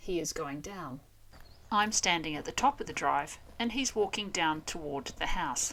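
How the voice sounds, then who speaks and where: A woman with an Australian accent speaks at a fairly slow pace, her fairly low voice bright and sharp in tone, with lively intonation. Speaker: language teacher. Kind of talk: educational explainer to camera.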